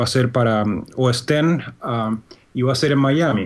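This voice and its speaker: In a Chilean accent, a man speaks at a medium pitch with ordinary pitch variation. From Chile, Santiago. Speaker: programming instructor. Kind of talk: interview. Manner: hesitant, many fillers.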